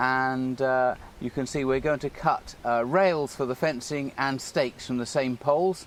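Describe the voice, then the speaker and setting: Fairly high in pitch, a man speaks with an English accent. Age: 60s. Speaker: model engineer and children's author. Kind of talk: narrated tutorial. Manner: casual.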